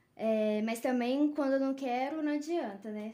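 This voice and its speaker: A dark, mellow tone carries speech at a moderate pace. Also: woman. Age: 20s. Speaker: veterinarian. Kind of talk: casual chat. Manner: halting, many fillers.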